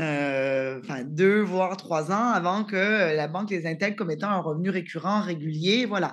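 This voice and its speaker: A woman at a fairly low pitch and moderate pace, lively in intonation, against a quiet background. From Canada. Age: 30s. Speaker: startup co-founder. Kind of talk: interview. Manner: hesitant, many fillers.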